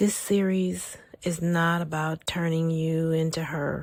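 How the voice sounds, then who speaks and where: Her tone gentle and somewhat breathy, a woman with a fairly low pitch speaks in a monotone, flat intonation. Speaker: spiritual healing podcast host. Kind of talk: guided spiritual podcast narration over a soundscape. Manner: soft, gentle, calming.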